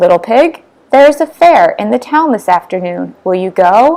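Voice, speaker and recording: Doing a put-on character voice, a woman speaks at a medium pitch and moderate pace with very wide pitch swings. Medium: read story.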